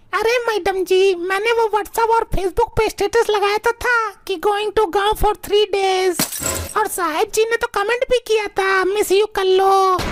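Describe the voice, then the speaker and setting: A woman uses a cartoonish character voice with extremely high pitch and monotone, flat intonation. She keeps a moderate pace and very even loudness. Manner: deferential, addresses employers as sahib and madam.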